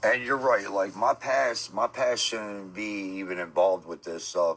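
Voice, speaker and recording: A man with a New Jersey accent at a moderate pace. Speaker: streamer. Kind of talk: live stream chat. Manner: loud.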